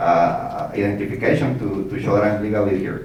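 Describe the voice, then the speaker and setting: A man's moderately paced speech carries audible room echo, with noticeable noise behind it. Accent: Mexican. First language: Spanish. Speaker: city council candidate, engineering professor. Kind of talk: candidate forum answers. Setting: forum with live audience. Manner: halting, many repetitions.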